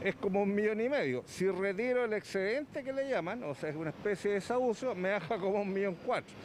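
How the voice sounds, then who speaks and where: A high-pitched man races along at a very fast pace with hardly any pauses and lively intonation. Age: 60s. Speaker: interviewee, retiree. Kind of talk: news interview.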